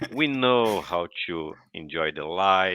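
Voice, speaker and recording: A Brazilian accent with ordinary pitch variation. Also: man. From Brazil, Paraná state. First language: Portuguese. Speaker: podcast guest. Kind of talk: interview.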